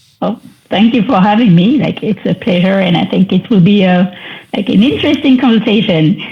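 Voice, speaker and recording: Over noticeable background noise, a woman talks fairly quickly at a medium pitch. Her intonation is lively. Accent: French. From France. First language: French. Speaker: wedding photographer. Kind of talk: podcast interview.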